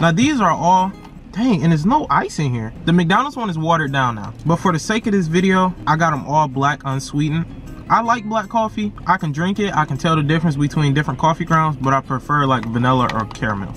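Faint music plays behind the speaker. He is a man talking at a very fast pace. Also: dry sound with no echo. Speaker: food vlogger. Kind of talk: casual vlog chat. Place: car. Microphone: phone near.

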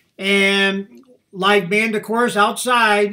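A man's raised, projected voice with a bright, sharp tone rings out against a quiet background. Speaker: reaction video host. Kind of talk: casual commentary. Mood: admiring, enthusiastic. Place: home room. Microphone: webcam.

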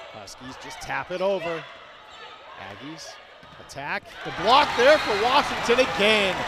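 Over noticeable background noise, a man talks with long, frequent pauses and big swings in loudness. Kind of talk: live commentary.

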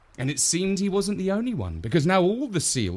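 Someone reads aloud here in a natural voice.

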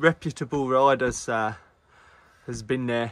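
Over light background noise, a man speaks at a moderate pace. His intonation stays fairly even. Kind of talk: casual vlog chat. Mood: relaxed joking. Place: street. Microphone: phone near.

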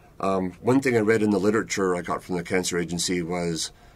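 Very deep and low in pitch, a man talks at a fairly quick pace with fairly even intonation. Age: 60s. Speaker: retired prostate cancer patient. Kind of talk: personal testimonial interview answer. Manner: hesitant, conversational. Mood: calm, candid, matter-of-fact. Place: studio.

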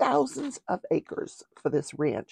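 A woman speaks at a fairly slow pace. The sound is dry, with no echo. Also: quiet background. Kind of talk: casual talk show commentary. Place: home room. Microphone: lapel.

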